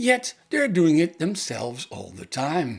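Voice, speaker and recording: Talking at a fairly slow pace with very wide pitch swings, a man speaks in a Dutch accent. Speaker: tech reviewer. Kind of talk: product review.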